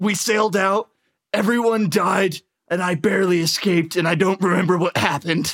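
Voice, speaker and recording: A raspy, put-on character voice sits at a middle pitch. It moves at a fairly quick pace. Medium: actual play. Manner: touchy, blustering.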